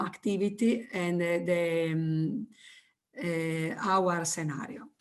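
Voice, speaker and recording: This woman's pitch sits in the medium range. She talks very slowly. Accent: Italian. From Italy. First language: Italian. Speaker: teacher. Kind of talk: presentation. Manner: halting.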